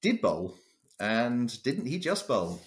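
In a southern English accent, the speaker moves at a fairly slow pace with lively intonation. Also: man. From London, England. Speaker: cricket biographer. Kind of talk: interview. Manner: halting, many fillers.

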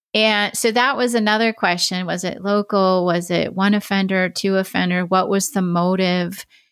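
At a moderate pace, a woman in a normal speaking voice talks at a medium pitch with fairly even intonation, recorded very cleanly with a silent background. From Oregon, US. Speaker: retired FBI criminal profiler. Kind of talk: interview conversation.

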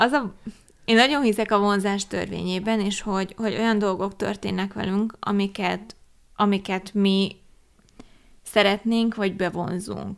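In a very clean recording with a silent background, a woman with a medium pitch talks at a fairly slow pace in a monotone, flat intonation, leaving long, frequent pauses. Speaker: podcast co-host. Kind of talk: casual chat. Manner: outspoken.

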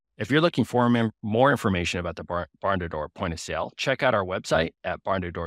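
Using a normal speaking voice, a man with a fairly low pitch talks at a fairly quick pace. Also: dry, close sound with no echo. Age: 50s. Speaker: podcast host. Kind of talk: interview.

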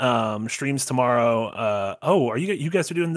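A man's normal speaking voice, fairly slow in pace, with lively intonation. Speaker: podcast co-host. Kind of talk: casual chat.

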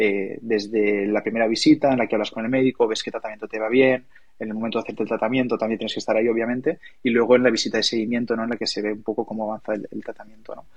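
Rushing at a very fast pace, a man speaks at a medium pitch with monotone, flat intonation. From Catalonia, Maresme. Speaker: entrepreneur. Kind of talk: interview conversation.

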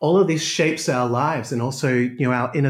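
In a very clean recording with a silent background, a man talks fairly quickly at a medium pitch, somewhat breathy, with ordinary pitch variation. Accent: Australian. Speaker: chiropractor. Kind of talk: interview.

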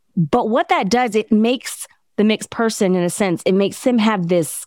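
In a very clean recording with a silent background and a dry, close sound with no echo, a plain, everyday voice carries lively intonation. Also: woman. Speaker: podcast host and PhD student. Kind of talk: interview, casual chat.

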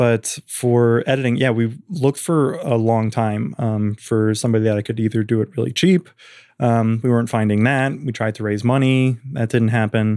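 On a very clean recording with a silent background, a man talks at a moderate pace and medium pitch, with ordinary pitch variation and a dark, mellow tone. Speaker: filmmaker. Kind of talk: casual chat.

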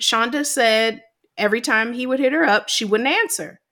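A woman with an American accent speaks at a high pitch in a bright, sharp tone. The recording is very clean with a silent background. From US South, Georgia. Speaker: podcast co-host. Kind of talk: casual chat.

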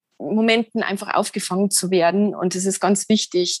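Recorded very cleanly against a silent background, a woman with a Lower Bavarian accent speaks in fairly even intonation, the sound dry and close with no echo. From Lower Bavaria, Germany. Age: 40s. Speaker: poet and yoga practitioner. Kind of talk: interview about personal experience.

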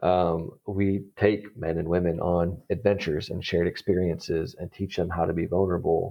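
A man's very deep, low voice at a moderate pace, monotone and flat, with hardly any pauses. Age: 30s. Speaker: program manager at a faith-based young adult organization. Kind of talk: casual interview.

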